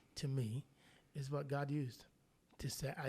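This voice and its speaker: A man with a Jamaican accent speaks in a somewhat breathy, medium-pitched voice with a dark, mellow tone. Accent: Jamaican, still fairly heavy. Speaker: pastor. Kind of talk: casual chat.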